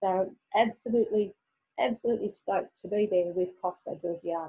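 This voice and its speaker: Speaking at a fairly quick pace with an Australian accent, a woman has a medium pitch, ordinary pitch variation and a somewhat breathy quality. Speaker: teacher. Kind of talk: webinar presentation. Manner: halting.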